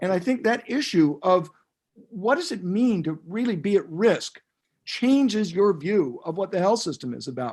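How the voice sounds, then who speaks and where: A high-pitched man at a moderate pace, with lively intonation. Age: 70s. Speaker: health care futurist. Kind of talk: panel discussion.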